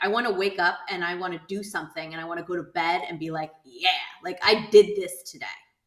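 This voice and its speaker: Over noticeable background noise, a woman speaks at a fairly quick pace with ordinary pitch variation. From Southern California. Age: 40s. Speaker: insurance entrepreneur and nonprofit founder. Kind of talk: podcast interview. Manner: casual, with many fillers.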